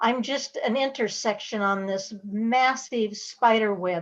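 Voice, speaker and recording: A woman's fairly high voice at a very slow pace, with fairly even intonation. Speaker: university center director, storyteller. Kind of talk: panel discussion.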